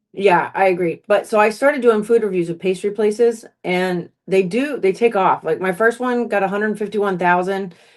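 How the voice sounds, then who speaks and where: The speech runs with hardly any pauses and fairly even intonation. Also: woman, medium pitch for a woman. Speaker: content creator / food reviewer. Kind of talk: casual chat. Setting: home livestream. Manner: fast.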